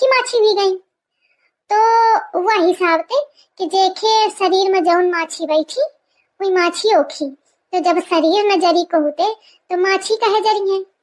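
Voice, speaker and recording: In a squeaky, cartoonish character voice, a woman talks at a moderate pace with extremely high pitch and ordinary pitch variation. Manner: rambling, folksy, stubborn.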